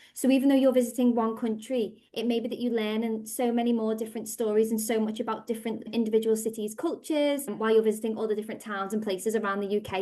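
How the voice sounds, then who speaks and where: A woman speaks very fast in a Liverpool accent, her tone dark and mellow. Her intonation is monotone and flat, against a quiet background. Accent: Scouse. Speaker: language school director. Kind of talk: podcast interview.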